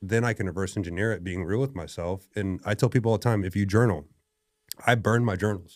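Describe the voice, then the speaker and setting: A man with ordinary pitch variation on a very clean recording with a silent background. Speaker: strength coach and gym owner. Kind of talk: podcast conversation. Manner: loud; animated.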